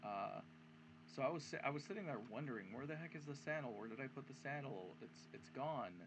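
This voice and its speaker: A man is speaking. His pitch swings very widely. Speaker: gaming YouTuber. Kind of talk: gameplay commentary. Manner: casual, halting with many fillers.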